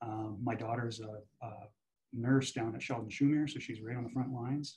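Against a quiet background, a man talks at a moderate pace, somewhat breathy, with ordinary pitch variation. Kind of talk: interview answer. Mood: reflective, earnest. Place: office. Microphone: video call.

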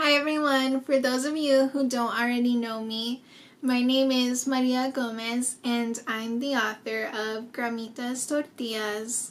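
A high-pitched woman with an American accent, at a fairly slow pace, with monotone, flat intonation. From US Southwest, small-town New Mexico. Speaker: children's book author. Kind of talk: personal appeal to supporters. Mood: warm, smiling, heartfelt. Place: home room.

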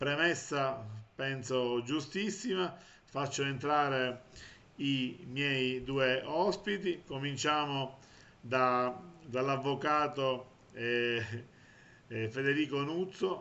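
A man speaks at a very slow pace with long, frequent pauses. His fairly high voice shows ordinary pitch variation. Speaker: web TV host. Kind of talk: interview. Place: home room. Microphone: earbuds.

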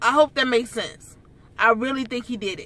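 A woman speaks in a raised, projected voice. The sound is dry with no echo. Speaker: vlogger. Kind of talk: casual vlog chat, opinion commentary. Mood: indignant, opinionated. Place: car. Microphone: phone near.

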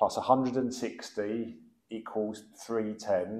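The background is quiet. A man is speaking. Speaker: plumbing instructor. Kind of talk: tutorial. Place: workshop.

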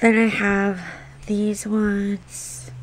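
A woman's voice amid noticeable background noise. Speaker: vlogger. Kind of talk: casual vlog chat. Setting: home, filming vlog. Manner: chatty, rambling, disfluent.

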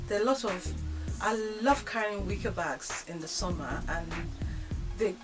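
A woman's moderate-paced speech is accompanied by clear background music. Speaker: DIY vlogger. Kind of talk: casual vlog chat. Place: home room. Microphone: camera far.

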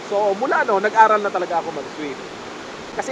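Speech comes at a fairly quick pace over noticeable background noise. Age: old. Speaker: vlogger and swimmer. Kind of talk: casual vlog talk. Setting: outdoors at a spring resort.

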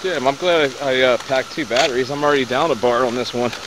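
Over noticeable background noise, the speech moves at a fairly quick pace with a dry sound and no echo. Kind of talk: casual vlog narration. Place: open country. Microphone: phone near.

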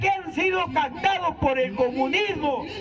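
Crowd noise fills the background as a man speaks in an extremely high voice. His tone is energetic and his intonation lively. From Peru. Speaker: street political speaker; speaker. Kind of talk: public political speech. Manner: energetic, forceful; loud. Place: street. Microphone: handheld.

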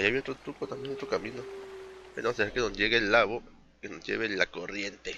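This is an unforced reading voice. It carries through the whole clip.

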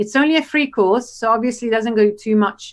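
Talking at a fairly quick pace, a woman speaks with an Italian accent. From Italy. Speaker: UX designer and educator; educator. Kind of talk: casual interview. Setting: video call. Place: home room. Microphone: video call.

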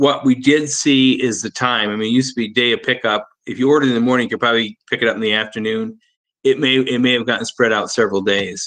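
A man talks at a very fast pace. His intonation stays fairly even. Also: quiet background. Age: 60s. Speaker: dairy supply chain director; guest. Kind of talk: panel discussion. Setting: video call. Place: home room. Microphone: video call.

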